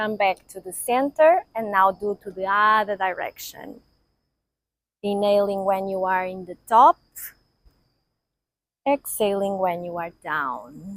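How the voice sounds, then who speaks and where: A woman with a Portuguese accent talks in a calm tone with big swings in loudness and long, frequent pauses, the sound dry and close with no echo. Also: medium pitch for a woman, ordinary pitch variation. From Portugal. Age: 50s. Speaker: yoga teacher. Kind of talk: guided yoga class instruction. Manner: slow, calm.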